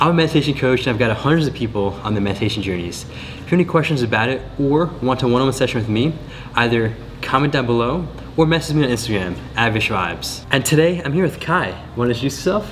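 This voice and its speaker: A man with an American accent talks at a very fast pace, his medium pitch carried by lively intonation. Music plays in the background, and audible room echo surrounds the voice. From United States. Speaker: meditation coach. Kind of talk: reaction video.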